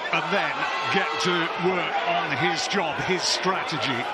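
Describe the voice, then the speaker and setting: Loud background noise under a fairly slow pace. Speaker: boxing commentator. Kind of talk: live fight commentary. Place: stadium.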